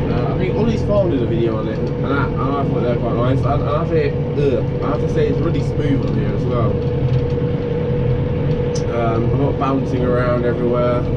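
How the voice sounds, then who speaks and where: A man talks fairly quickly while loud background noise carries on. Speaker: tractor driver reviewer. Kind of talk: casual vlog chat. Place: farm machine. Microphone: camera far.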